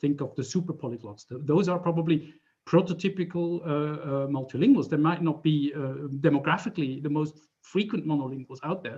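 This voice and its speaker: A man talks at a fairly quick pace in a Swiss German accent. His pitch is fairly high, with ordinary variation and a dark, mellow tone. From German-speaking Switzerland. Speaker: professor. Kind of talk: lecture. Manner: halting, many fillers.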